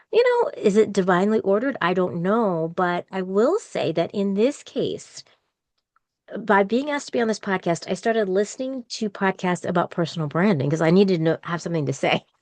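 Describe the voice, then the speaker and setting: A woman with an unremarkable speaking voice talks at a fairly quick pace in a medium pitch with lively intonation, sounding dry and close with no echo over a quiet background. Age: 60s. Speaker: podcaster and university employee. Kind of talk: interview conversation.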